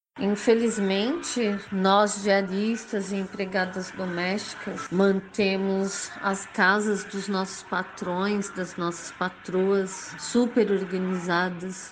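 A woman speaks very slowly at a medium pitch. Noticeable background noise and audible room echo come through. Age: 40s. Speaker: domestic worker. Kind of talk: personal testimony.

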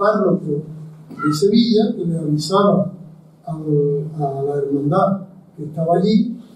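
A man speaks at a very slow pace with ordinary pitch variation. Audible room echo surrounds the voice. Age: 80s+. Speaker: historian and lecturer. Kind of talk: lecture. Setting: university lecture hall with audience.

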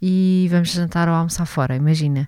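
A woman's fairly low-pitched voice with ordinary pitch variation. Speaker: podcast co-host. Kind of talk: casual chat.

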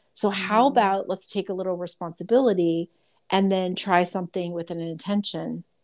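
A woman talks at a fairly quick pace in an unremarkable speaking voice of medium pitch, on a very clean recording with a silent background. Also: fairly even intonation. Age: 50s. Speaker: medical intuitive. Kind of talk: casual chat.

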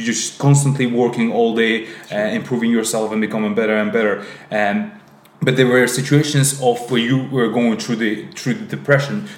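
Over noticeable background noise, a man speaks at a moderate pace with a medium pitch and ordinary pitch variation. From Azerbaijan. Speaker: podcast host. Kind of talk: casual interview conversation.

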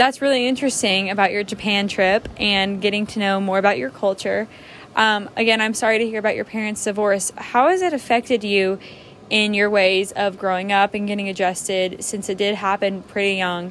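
A woman speaks at a fairly quick pace with a medium pitch and fairly even intonation. Noticeable background noise runs underneath. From Tennessee. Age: young. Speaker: college student. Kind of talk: student interview project.

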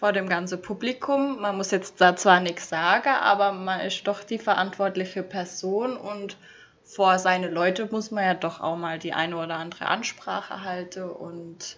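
At a moderate pace, a woman with a normal speaking voice talks at medium pitch with fairly even intonation. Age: 20s. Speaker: former registrar. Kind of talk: casual chat.

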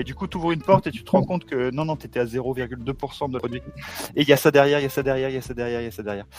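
Amid noticeable background noise, a man talks very fast at medium pitch with ordinary pitch variation and big swings in loudness. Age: 40s. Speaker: tech company executive. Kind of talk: podcast interview.

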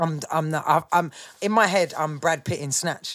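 A Birmingham accent with ordinary pitch variation, on a very clean recording with a silent background. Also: woman. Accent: Birmingham (Brummie). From Birmingham, England. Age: 30s. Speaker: grime MC. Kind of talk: casual interview chat. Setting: studio, live podcast.

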